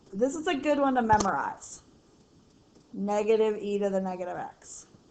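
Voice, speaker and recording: A woman's fairly high voice at a moderate pace, lively intonation and big swings in loudness over noticeable background noise. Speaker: math teacher. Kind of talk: tutorial. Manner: casual, chatty.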